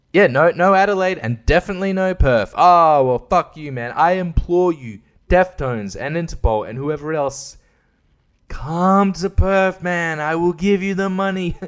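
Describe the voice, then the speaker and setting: Speaking with an Australian accent, a man uses a high pitch, ordinary pitch variation and a moderate pace, with big swings in loudness. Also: very clean recording, silent background. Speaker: podcaster. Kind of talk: casual monologue. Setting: at home at night. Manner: animated; kept quiet to not wake baby.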